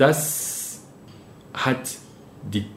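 A man's voice with audible room echo. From Cameroon. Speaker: interviewee. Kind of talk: interview. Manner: halting, repeating words.

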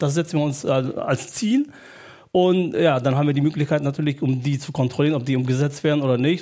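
With a dark, mellow tone, a man with a fairly high pitch talks at a fairly quick pace with fairly even intonation. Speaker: parent representative at a school. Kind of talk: panel discussion. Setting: stage with audience. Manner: halting.

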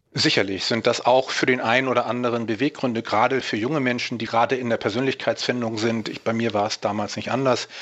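Words tumble out of a man at a very fast pace. His medium-pitched delivery is monotone and flat. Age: 50s. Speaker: natural bodybuilder and fitness coach. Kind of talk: interview.

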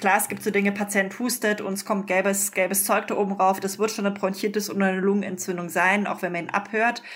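A woman's voice over noticeable background noise. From Munich, Bavaria. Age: 30s. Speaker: doctor. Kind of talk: interview.

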